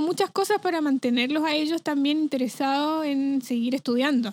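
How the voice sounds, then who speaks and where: A high-pitched woman talks with ordinary pitch variation in a dry, close recording that has no echo. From Chile (Rancagua). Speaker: flutist, music teacher. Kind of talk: casual interview chat.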